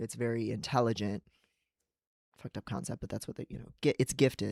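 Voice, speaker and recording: Recorded dry and close with no echo, a man with an American accent talks at a fairly quick pace. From United States. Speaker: writer and psychologist streaming. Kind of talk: livestream casual chat. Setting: livestream. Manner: fast; little breathing while speaking.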